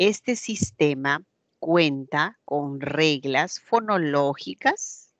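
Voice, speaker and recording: Very slowly and with very wide pitch swings, a woman with a very deep, low pitch speaks in an Andean accent, in a dry, close sound with no echo. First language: Quechua (speaking Spanish). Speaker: teacher. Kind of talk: lecture. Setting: online class, camera off.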